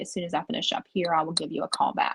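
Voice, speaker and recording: A woman speaks at a medium pitch with a Southern US accent. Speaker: recovery support worker. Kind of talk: interview.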